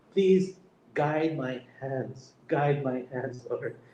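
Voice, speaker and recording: A fairly high male voice against noticeable background noise. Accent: Filipino. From Philippines. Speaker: heart surgeon. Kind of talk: testimony. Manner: halting, repetitive.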